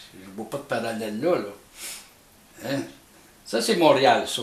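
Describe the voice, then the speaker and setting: There is audible room echo and noticeable background noise. A man speaks with a Quebec accent. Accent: Québécois French. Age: 70s. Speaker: amateur experimenter, YouTuber. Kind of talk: casual explanatory monologue. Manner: halting, hesitant.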